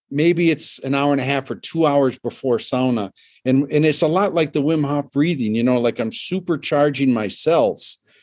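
Against a quiet background, a man with a normal speaking voice talks at a moderate pace and a fairly high pitch, with ordinary pitch variation. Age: 60s. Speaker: sauna builder and expert. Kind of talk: casual interview chat. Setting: video call from a home with a sauna.

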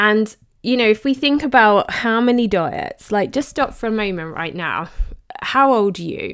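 Lively intonation marks this moderate-paced voice with an English accent, heard in a very clean recording with a silent background. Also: woman, fairly high pitch for a woman. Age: 40s. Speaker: podcast host and health coach. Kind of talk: casual monologue.

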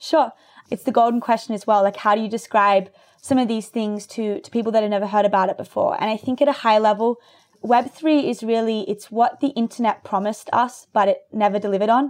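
A woman talks at a fairly high pitch in an Australian accent. Her pace is fairly quick, with ordinary pitch variation. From Australia (rural New South Wales, near Byron Bay). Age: 20s. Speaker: tech startup founder. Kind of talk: interview.

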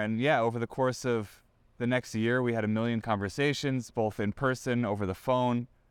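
An ordinary speaking voice from a man at a fairly quick pace, on a very clean recording with a silent background. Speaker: sports reporter. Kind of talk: casual interview chat.

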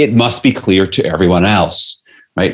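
A man's plain, everyday voice with an American accent, fairly low in pitch, with lively intonation at a moderate pace. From New York City. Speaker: leadership author and coach. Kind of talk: interview.

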